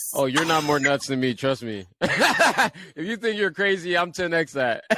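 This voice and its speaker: Over noticeable background noise, a man with a Liberian accent talks in a fairly high pitch with lively intonation. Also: moderate pace. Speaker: podcast host. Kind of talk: casual interview chat.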